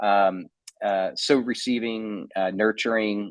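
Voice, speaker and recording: A man with a New Jersey accent speaks at a fairly low pitch in a monotone, flat delivery. The sound is dry and close, with no echo. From New Jersey (Edison). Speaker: pastor and theologian. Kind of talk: podcast interview, personal testimony. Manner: hesitant, many fillers and restarts.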